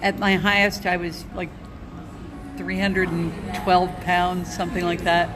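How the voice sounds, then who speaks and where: Amid noticeable background noise and audible room echo, a woman speaks at a fairly low pitch in a monotone, flat intonation, with long, frequent pauses. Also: fairly slow pace. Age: 60s. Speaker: former nurse, keto dieter. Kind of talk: personal testimony. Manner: halting, many fillers.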